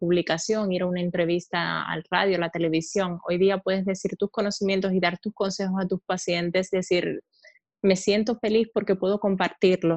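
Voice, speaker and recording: A woman speaks at a fairly quick pace in a medium pitch. The sound is dry and close, with no echo. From Cuba, outside Havana. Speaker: aesthetic medicine doctor. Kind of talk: interview.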